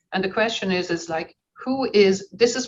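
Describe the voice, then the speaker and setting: The woman's pitch sits in the medium range. It varies in an ordinary way. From Ireland. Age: 60s. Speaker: conference participant. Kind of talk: audience comment in online Q&A. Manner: animated.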